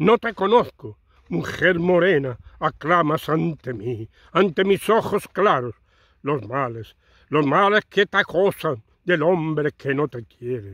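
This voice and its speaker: Against a quiet background, a man with a fairly high pitch speaks very slowly with very wide pitch swings in a dry, close sound with no echo. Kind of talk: poem reading. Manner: slow, dreamy and wistful, with a soft romantic lilt; emotive, sighing, with dramatic pauses.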